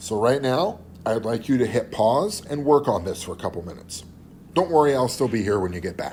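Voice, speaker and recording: Amid audible room echo, a man at medium pitch swings very widely in pitch. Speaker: chemistry teacher. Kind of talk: lecture. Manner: casual.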